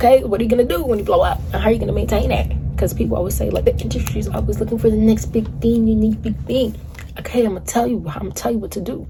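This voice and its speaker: A woman with an American accent at a very fast pace, amid audible room echo and noticeable background noise. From New York. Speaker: music commentator YouTuber. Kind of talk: casual vlog monologue. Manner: animated.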